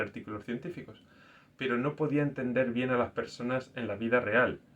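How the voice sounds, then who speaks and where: In a normal speaking voice, a man talks fairly quickly at a medium pitch. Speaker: scientist and faith video host. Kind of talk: personal reflective talk.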